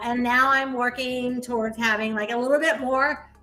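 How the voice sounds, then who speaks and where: A woman's animated, high-pitched voice in an American accent, moderate pace, ordinary pitch variation, over noticeable background noise. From US Midwest, Ohio. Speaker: real estate investor and coach. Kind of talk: casual interview chat.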